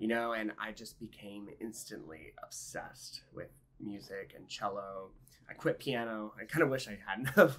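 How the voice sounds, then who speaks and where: A fairly low-voiced man with an American accent speaks at a moderate pace, with ordinary pitch variation and big swings in loudness. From Texas, Houston. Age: 30s. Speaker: orchestral cellist. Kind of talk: interview. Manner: casual, hesitant with many fillers.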